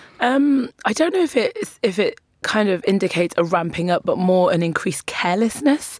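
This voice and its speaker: A woman talks at a fairly quick pace in a fairly high voice, with very wide pitch swings and very even loudness. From Newcastle, northern England. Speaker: writer, poet and broadcaster. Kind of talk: studio discussion.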